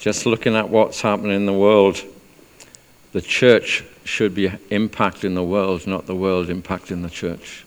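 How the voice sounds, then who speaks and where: A man speaks in a South Wales accent. His pitch is fairly low. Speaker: church speaker leading testimonies. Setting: church. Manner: speaking slowly.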